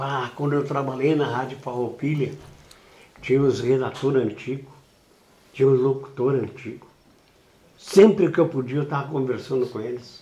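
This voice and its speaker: A man's voice comes across somewhat breathy. Audible room echo fills the recording. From southern Brazil, Rio Grande do Sul (Uruguaiana, Itaqui). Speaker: veteran radio broadcaster. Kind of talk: interview. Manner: animated.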